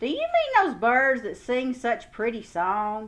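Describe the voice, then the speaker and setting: This is a put-on character voice. It is loud. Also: woman. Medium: read story. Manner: loud, hearty.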